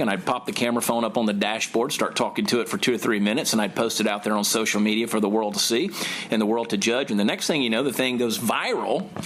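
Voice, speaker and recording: A man's voice at medium pitch over noticeable background noise. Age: 40s. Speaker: comedian. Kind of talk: interview answer. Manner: fast-talking.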